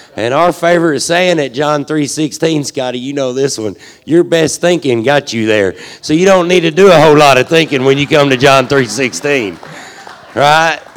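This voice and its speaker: Over noticeable background noise, a man with a Southern US accent talks at a moderate pace with ordinary pitch variation. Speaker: ministry leader. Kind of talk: casual speech to congregation.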